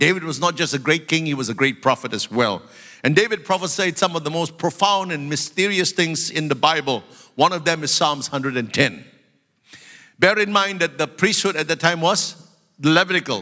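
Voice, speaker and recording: Pitched fairly high with ordinary variation, a man's voice moves at a moderate pace. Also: very clean recording, silent background. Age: 60s. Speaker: pastor. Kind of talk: sermon. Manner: animated.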